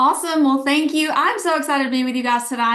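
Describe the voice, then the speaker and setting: A woman with an Alabama accent at a very fast pace. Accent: Southern (Alabama). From Alabama, US South. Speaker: network marketing leader, former teacher. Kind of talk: sales pitch. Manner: animated.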